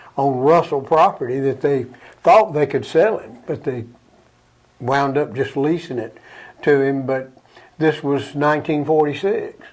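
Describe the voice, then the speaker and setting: Speech at a fairly slow pace, with an Alabama accent. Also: man. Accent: Southern US (Alabama). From US South, Alabama. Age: 80s+. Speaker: local elder reminiscing about town history. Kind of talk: interview.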